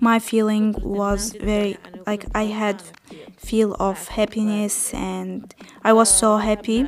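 A woman with an Arabic accent, fairly high pitch, very slow pace and monotone, flat intonation, with noticeable background noise. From Palestine. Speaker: refugee. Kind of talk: testimony. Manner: halting.

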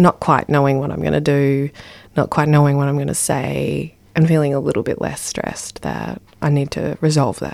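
Woman with an Australian accent at a moderate pace. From Ballarat, Victoria, Australia. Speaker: poet and spoken word performer. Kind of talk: interview.

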